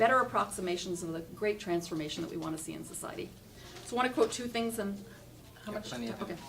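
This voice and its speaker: Lively intonation and a very fast pace come through over noticeable background noise. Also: woman, medium pitch for a woman. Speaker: speaker giving a talk. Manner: fast talker.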